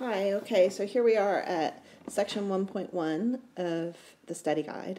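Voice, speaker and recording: A woman speaks fairly slowly with an American accent. Her tone is dark and mellow. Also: medium pitch for a woman, ordinary pitch variation. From United States. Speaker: math teacher. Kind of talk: lecture. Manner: casual, with self-corrections and false starts.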